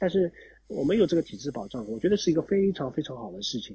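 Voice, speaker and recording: The voice has a dark, mellow tone and moves at a very fast pace. Its pitch swings very widely. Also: man. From Shanghai, China. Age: 30s. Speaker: former pro cyclist and cycling coach. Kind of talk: interview conversation. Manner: halting, many fillers and repetitions.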